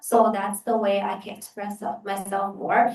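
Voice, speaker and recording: A fairly slow delivery in a Chinese accent. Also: woman. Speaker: exchange student. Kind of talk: panel Q&A answer.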